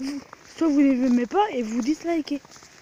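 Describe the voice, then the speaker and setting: Very slow speech comes from a woman with a high pitch and ordinary pitch variation. The sound is dry and close with no echo, with noticeable background noise. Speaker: beginner YouTuber, vlogger. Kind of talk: casual vlog. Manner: halting, repeats words.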